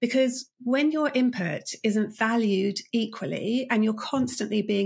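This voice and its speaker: With a British accent, a woman speaks at a fairly high pitch, somewhat breathy, with ordinary pitch variation. The recording is very clean and the background silent. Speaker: leadership coach and author. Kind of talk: interview.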